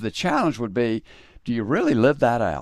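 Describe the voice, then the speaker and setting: Talking at a very fast pace in a Southern US accent, the voice shows ordinary pitch variation on a very clean recording with a silent background. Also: man. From US South, South Carolina. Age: 60s. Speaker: podcast host and faith speaker. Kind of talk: interview conversation. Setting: studio. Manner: reflective, conversational.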